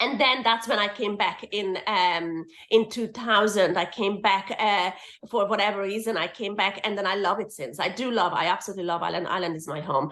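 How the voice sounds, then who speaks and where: With a bright, sharp tone, a woman speaks at a medium pitch and a fairly quick pace, using ordinary pitch variation. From Hungary. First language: Hungarian. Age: 40s. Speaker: permanent makeup artist and teacher. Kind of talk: casual interview chat.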